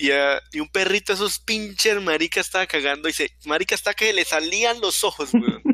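In a raised, projected voice, a man speaks with a high pitch, a bright, sharp tone and ordinary pitch variation, the sound dry and close with no echo. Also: fairly quick pace. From Colombia, not Medellín. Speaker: podcast host. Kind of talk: casual chat. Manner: halting, repetitive.

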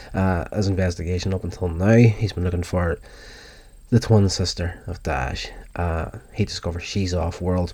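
This man's voice is very deep and low, with ordinary pitch variation. It sounds somewhat breathy, with a dark, mellow tone. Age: 40s. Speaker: podcast host reviewing TV episodes. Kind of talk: solo review monologue. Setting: recorded from YouTube video audio. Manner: casual, with fillers.

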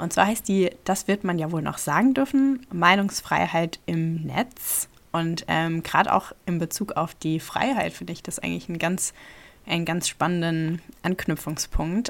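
Using a plain, everyday voice, a woman talks at a fairly slow pace. Her intonation is lively. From Rhineland-Palatinate, Ludwigshafen. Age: 20s. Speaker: podcast host, politics student. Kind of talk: casual chat.

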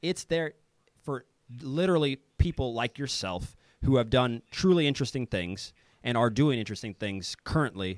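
A man with a Midwestern American accent talks at a moderate pace and medium pitch, his intonation lively, in a dry, close sound with no echo. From US Midwest, Kansas City. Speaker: professional footballer and polyglot. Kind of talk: interview conversation. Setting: video call.

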